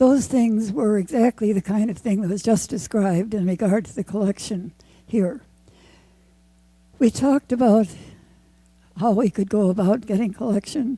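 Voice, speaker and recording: In a very clean recording with a silent background, a woman with a dark, mellow, fairly high, somewhat breathy voice talks at a moderate pace with ordinary pitch variation, big swings in loudness, and long, frequent pauses. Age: 80s+. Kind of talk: award acceptance speech.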